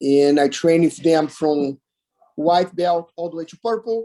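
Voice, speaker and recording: Speaking at a moderate pace, a man with a high pitch and a dark, mellow tone uses ordinary pitch variation. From Brazil, Teresópolis near Rio. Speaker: martial arts instructor. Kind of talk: interview.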